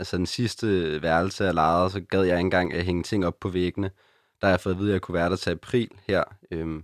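Very deep and low, a man's voice moves at a fairly quick pace with fairly even intonation. The recording is very clean with a silent background and a dry, close sound with no echo. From Copenhagen, Denmark (Christianshavn). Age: 20s. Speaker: student without a fixed home. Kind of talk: interview.

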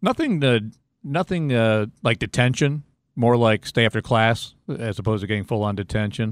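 In an ordinary speaking voice, a man speaks at a moderate pace with medium pitch and ordinary pitch variation. The recording is very clean with a silent background and a dry, close sound with no echo. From Ohio, Cleveland. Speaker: sports radio color commentator. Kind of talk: casual interview.

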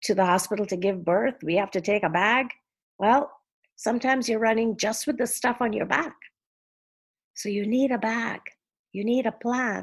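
In a quiet background, a woman with a fairly high pitch talks at a moderate pace, using ordinary pitch variation and long, frequent pauses. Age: 60s. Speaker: philanthropist and advocate. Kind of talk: interview conversation.

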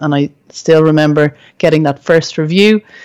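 This woman's pitch is very deep and low. She talks at a moderate pace. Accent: Irish. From Ireland. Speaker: entrepreneur and school psychologist. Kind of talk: interview. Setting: remote recording.

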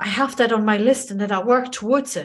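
At a moderate pace, a woman with a fairly high pitch speaks in an enthusiastic tone, somewhat breathy and with ordinary pitch variation. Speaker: podcast host. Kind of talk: podcast interview. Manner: extroverted, enthusiastic.

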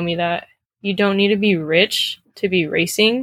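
A plain, everyday voice from a woman, medium in pitch, at a fairly slow pace. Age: 20s. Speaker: race car driver and student. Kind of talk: interview.

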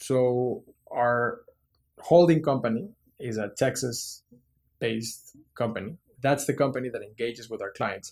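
A man speaking with a Mexican accent at a fairly slow pace, medium in pitch with ordinary pitch variation. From Mexico City. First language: Spanish. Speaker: business executive. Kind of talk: interview.

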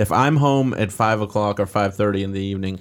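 At a fairly quick pace, a man speaks in a plain, everyday voice, fairly low-pitched, with ordinary pitch variation. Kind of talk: casual chat. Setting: studio.

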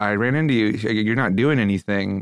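A man with an American accent and a plain, everyday voice speaks fairly quickly at a fairly low pitch with ordinary pitch variation. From Philadelphia. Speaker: musician, drummer. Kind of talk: casual chat. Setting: studio.

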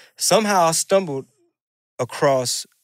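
This man speaks with an American accent. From Houston, Texas (Mexican American). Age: 40s. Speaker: rapper and stand-up comedian. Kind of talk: casual chat.

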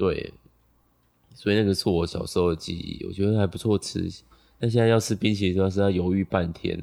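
Fairly quick in pace yet broken by long, frequent pauses, the voice has a dark, mellow tone and monotone, flat intonation. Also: man, fairly low pitch for a man. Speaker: podcast co-host. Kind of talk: casual chat. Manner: slurred articulation.

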